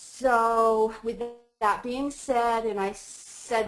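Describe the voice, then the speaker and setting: A woman's fairly high voice, flat and monotone, over background music. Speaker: life coach, webinar presenter. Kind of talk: webinar presentation. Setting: webinar call.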